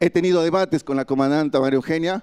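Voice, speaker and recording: This man speaks with a Mexican accent at a high pitch, with ordinary pitch variation. The sound is dry and close, with no echo. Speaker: migrant activist. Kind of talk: panel speech.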